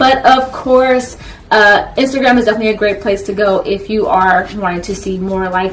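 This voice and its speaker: Background noise is noticeable throughout. The speech moves at a fairly quick pace. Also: woman. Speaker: anime YouTuber. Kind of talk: casual vlog talk. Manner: fast.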